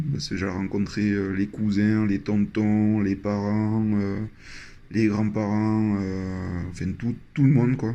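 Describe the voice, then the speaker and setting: With a southwestern French accent, a man speaks in a dark, mellow tone. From southwest France, Landes. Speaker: traveler sharing experience. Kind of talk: personal storytelling. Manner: hesitant, many fillers.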